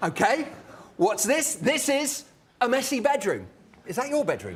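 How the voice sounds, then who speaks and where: A man with a British accent and an extremely high pitch, lively intonation and a moderate pace, with audible room echo and noticeable background noise. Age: 50s. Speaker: professor giving public lecture. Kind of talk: lecture. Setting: stage with audience. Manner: animated.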